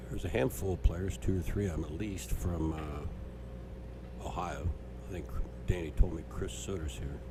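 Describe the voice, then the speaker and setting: With music in the background and audible room echo, a soft-spoken man with a very deep, low voice uses lively intonation while his loudness swings widely. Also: moderate pace. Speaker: pool match commentator. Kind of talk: live commentary. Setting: pool hall.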